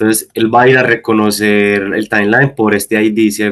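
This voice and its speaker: Fairly low male voice, monotone and flat, at a fairly slow pace. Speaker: guest instructor. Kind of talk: online lecture / coding tutorial. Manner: hesitant, many fillers.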